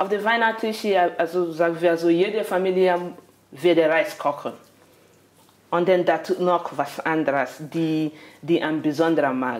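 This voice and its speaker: A woman's fairly low voice, with ordinary pitch movement, long and frequent pauses, and a fairly slow pace. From Nigeria. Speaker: migrant guest; interviewee. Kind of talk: casual interview. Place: kitchen.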